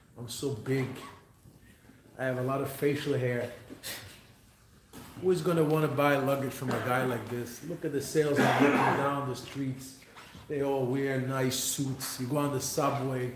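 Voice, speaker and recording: A man with a fairly high-pitched voice speaks in a flat monotone, leaving long, frequent pauses, with audible room echo and noticeable background noise. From Israel, Jerusalem. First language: Hebrew. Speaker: businessman and speaker. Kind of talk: motivational talk.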